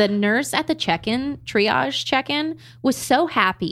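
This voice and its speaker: A woman with an American accent and vocal fry, very wide pitch swings, a fairly slow pace, and a very clean recording against a silent background. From Maryland, US. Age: 20s. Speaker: postpartum advocate. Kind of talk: casual chat.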